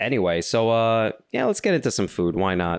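This man has a New York accent and speaks at a moderate pace with ordinary pitch variation. The recording is very clean with a silent background. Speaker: comedian, podcast co-host. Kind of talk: casual chat. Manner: animated.

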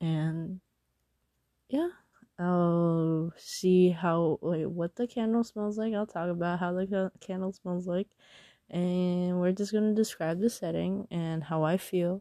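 Dry and close with no echo, a woman's dark, mellow voice moves at a fairly slow pace with fairly even intonation. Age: 20s. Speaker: podcast host. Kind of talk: casual monologue. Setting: in bed under a blanket at night. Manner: rambling, hesitant with fillers.

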